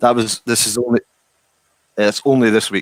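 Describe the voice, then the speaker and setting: Someone speaks in a Scottish accent, the sound dry and close with no echo. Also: man. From Scotland. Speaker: distillery worker. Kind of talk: casual chat.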